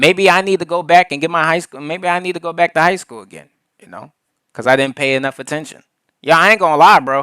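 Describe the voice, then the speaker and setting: Lively in intonation, a man talks with a fairly high pitch and a bright, sharp tone. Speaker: reaction streamer. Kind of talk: reaction commentary. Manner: halting at times.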